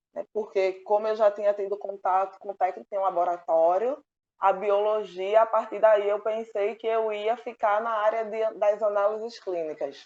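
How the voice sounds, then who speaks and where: Delivered in a Pernambuco accent, the speech moves at a moderate pace with fairly even intonation and hardly any pauses. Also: woman, medium pitch for a woman. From Pernambuco, Brazil. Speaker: oceanography doctoral student. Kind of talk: interview answer.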